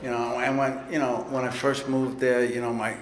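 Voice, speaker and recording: A medium-pitched man with a New York accent, amid audible room echo and noticeable background noise. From New York City. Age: 60s. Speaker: recovery speaker. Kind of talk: recovery talk at convention. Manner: casual, profane storytelling.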